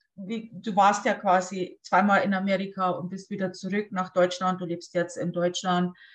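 A woman speaks in a somewhat breathy voice at medium pitch. Her intonation is monotone and flat. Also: moderate pace, hardly any pauses. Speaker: podcast host. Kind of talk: casual interview. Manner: hesitant, many fillers.

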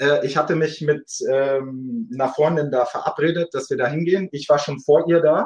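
At a moderate pace, a man speaks in a normal speaking voice with a fairly high pitch and ordinary pitch variation. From Munich, Germany. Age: 20s. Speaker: dating podcast guest. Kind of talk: casual interview.

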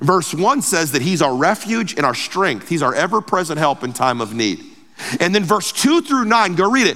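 There is noticeable noise behind this high-pitched man. He talks at a moderate pace with very wide pitch swings. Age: 40s. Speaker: pastor. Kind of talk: sermon.

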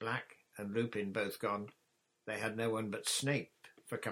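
The speaker uses a natural reading voice. The pitch varies in an ordinary way.

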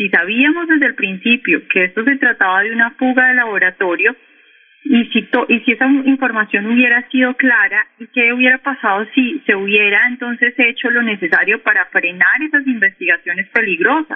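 A woman's high-pitched voice moves at a moderate pace with lively intonation. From Colombia, Cali. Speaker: economist and news portal editor. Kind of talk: radio interview. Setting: phone call.

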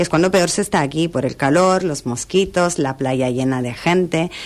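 A woman speaks at a very deep, low pitch with ordinary pitch variation. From Italy (Milan). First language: Italian (speaking Spanish). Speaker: hotel director. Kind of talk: radio interview. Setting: radio studio.

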